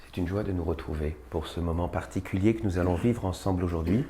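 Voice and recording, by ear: A man's put-on character voice, very deep and low, hoarse, at a very fast pace.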